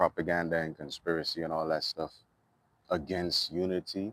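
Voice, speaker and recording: In a Trinidadian accent, a man talks at a moderate pace with a very deep, low pitch, the sound dry and close with no echo. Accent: Trinidadian dialect kept. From Trinidad and Tobago, East Dry River. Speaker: musician and vlogger. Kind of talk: casual monologue vlog. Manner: animated.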